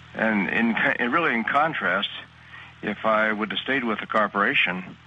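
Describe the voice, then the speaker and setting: A man speaks at a fairly low pitch with fairly even intonation over noticeable background noise. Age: 60s. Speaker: network marketer. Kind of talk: testimonial interview. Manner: halting, many fillers.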